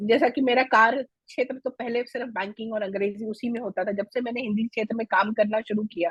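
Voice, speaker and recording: A woman talks at a moderate pace with hardly any pauses, her voice somewhat breathy. Her pitch is fairly high and her intonation fairly even. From India, raised in Delhi, family from Mithila (Bihar). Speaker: Hindi language foundation founder, former banker. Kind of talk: interview.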